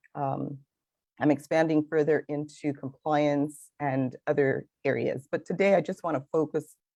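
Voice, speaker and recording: This woman has a very deep, low-pitched voice with a dark, mellow tone. She talks at a moderate pace, and the sound is dry and close with no echo. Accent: slight Belizean. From Belize. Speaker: finance consultant. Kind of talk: interview. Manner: animated.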